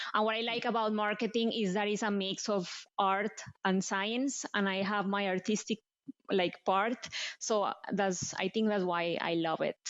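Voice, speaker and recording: A woman speaks with a Colombian accent and fairly even intonation. Her loudness stays very even throughout. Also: medium pitch for a woman, moderate pace. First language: Spanish. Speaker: marketing executive. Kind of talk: interview.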